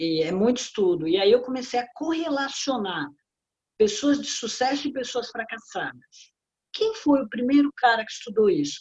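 Lively intonation marks this woman's fairly high voice. She speaks at a moderate pace. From Brazil, São Paulo. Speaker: business consultant and author. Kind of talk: interview. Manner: animated.

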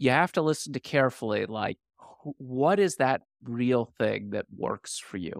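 A man with an American accent speaks in a normal speaking voice at a moderate pace, medium in pitch with lively intonation. The recording is very clean with a silent background and a dry, close sound with no echo. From US, Washington D.C. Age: 50s. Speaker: author and former hedge fund investor. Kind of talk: casual interview.

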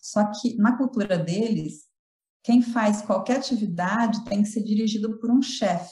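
At a moderate pace, a woman with a fairly high pitch speaks in a somewhat breathy, dark, mellow tone. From Brazil, São Paulo. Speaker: linguistics professor. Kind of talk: interview. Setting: remote call.

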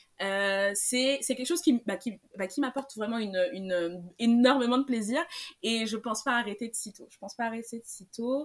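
A woman's unremarkable speaking voice, fairly high in pitch, at a moderate pace, with ordinary pitch variation and big swings in loudness. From Senegal. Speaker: illustrator. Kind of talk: interview.

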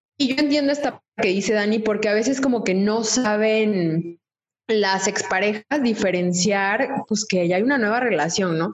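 Someone with a Mexican accent speaks at a fairly slow pace, with very even loudness and ordinary pitch variation. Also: woman, fairly high pitch for a woman. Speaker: podcast co-host. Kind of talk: casual chat.

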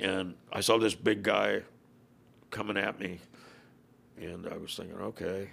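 This man has a fairly low pitch, vocal fry and an American accent. His pitch varies in an ordinary way. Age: 70s. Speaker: former motorcycle club president and author. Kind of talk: casual interview chat.

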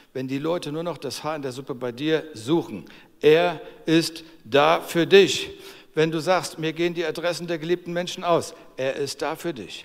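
This man has a fairly high voice. Its pitch varies in an ordinary way. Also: moderate pace. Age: 60s. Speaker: preacher. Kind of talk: sermon. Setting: church service. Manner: animated.

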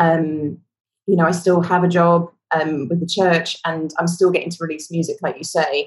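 Her fairly low-pitched voice is somewhat breathy, with monotone, flat intonation and a moderate pace. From London, England. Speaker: worship leader, singer-songwriter. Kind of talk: casual interview chat.

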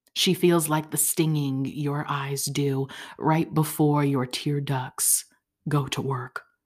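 A woman's very deep, low voice, fairly even in intonation, at a very slow pace. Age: 20s. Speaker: poet and podcast host. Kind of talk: poem performed, intimate spoken-word reading. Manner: slow, soft, dreamy and tender, with measured pauses.

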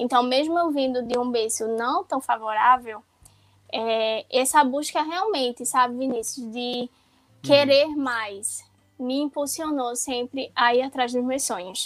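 A woman with a high pitch speaks at a fairly slow pace in a very clean recording with a silent background. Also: ordinary pitch variation. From Pernambuco, Brazil. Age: 20s. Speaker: physiotherapist. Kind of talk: podcast interview.

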